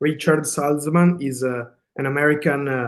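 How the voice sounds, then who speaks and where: A man with an Italian accent and a fairly high pitch. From Italy, Veneto. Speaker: illustrator. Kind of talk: presentation talk. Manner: halting, many fillers.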